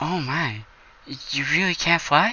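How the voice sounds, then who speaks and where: A man uses a put-on character voice. His pitch sits high. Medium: read story. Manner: soft-spoken, timid.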